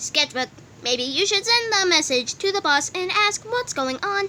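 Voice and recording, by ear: In a put-on character voice, a woman speaks at a moderate pace with extremely high pitch, lively intonation and a bright, sharp tone over faint background noise.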